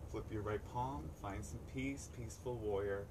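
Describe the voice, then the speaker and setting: Loud background noise fills the recording. Over it, a man speaks at a fairly slow pace. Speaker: yoga instructor. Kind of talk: live-streamed outdoor yoga class cueing poses breath by breath. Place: waterside.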